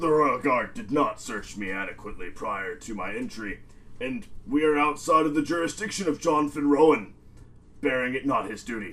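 Delivered in a put-on character voice at a moderate pace, the speech has very wide pitch swings. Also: man. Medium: actual play. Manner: formal, silky, pointed.

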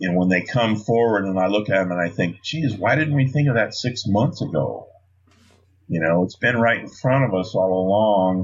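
A man with a fairly low pitch speaks at a moderate pace in a normal speaking voice. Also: ordinary pitch variation. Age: 50s. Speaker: lean consultant and bourbon distiller. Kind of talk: casual interview.

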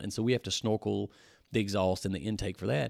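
In a Louisiana accent with vocal fry, the speaker goes at a very fast pace on a very clean recording with a silent background. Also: man. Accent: Louisiana Southern US. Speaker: powersports shop owner and off-road builder. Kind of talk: casual chat. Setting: in a powersports shop.

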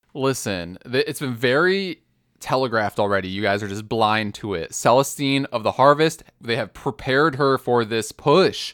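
A man with an unremarkable speaking voice, medium pitch, lively intonation and a moderate pace, in a dry, close sound with no echo and a very clean recording over a silent background. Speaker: podcast host. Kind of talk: casual banter about a game.

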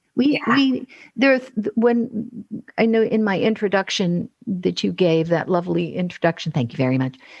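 Somewhat breathy, a woman speaks at a moderate pace and medium pitch, with very wide pitch swings and very even loudness. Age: 60s. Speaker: voice and speech coach. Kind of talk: casual interview conversation.

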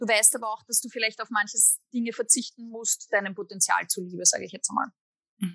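A woman's fairly high, bright, sharp voice with an Austrian accent, fairly quick and fairly even in intonation. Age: 30s. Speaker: musician and psychologist. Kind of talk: interview.

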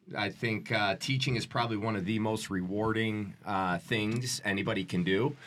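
A man's fairly low, moderate-paced delivery with an American accent, a plain, everyday voice, fairly even intonation, very even loudness and hardly any pauses. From Chicago, South Side. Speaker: youth educator. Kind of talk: interview.

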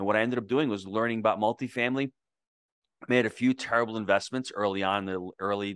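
Against a quiet background and with a dry, close sound with no echo, a man speaks at a very fast pace in a fairly low pitch with fairly even intonation. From New York, US, to Italian immigrant parents. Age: 50s. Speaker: real estate investor and coach. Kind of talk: interview.

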